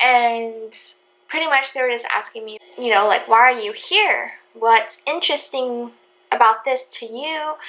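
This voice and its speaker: This woman is soft-spoken, with a high pitch and ordinary pitch variation. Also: big swings in loudness. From Hawaii. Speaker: vlogger. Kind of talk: story time vlog.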